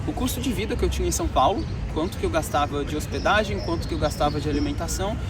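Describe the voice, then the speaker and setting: Music plays in the background, and audible room echo surrounds the voice. A man speaks at a very fast pace. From Brazil, Minas Gerais (Betim). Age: 20s. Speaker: travel vlogger, programmer. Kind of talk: vlog storytelling. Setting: outdoors walking in city streets. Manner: casual conversational.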